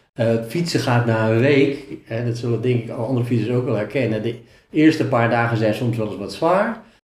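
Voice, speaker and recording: A man with a slightly breathy voice talks in a mid-range pitch, his pitch moving in a normal way. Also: moderate pace. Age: 50s. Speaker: self-employed sales trainer and cyclist. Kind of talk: interview.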